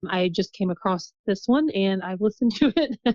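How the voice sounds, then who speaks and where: With a Midwestern accent, a woman speaks in a dry, close sound with no echo. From US Midwest, southern Indiana. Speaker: guest, mother sharing birth story. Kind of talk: podcast interview.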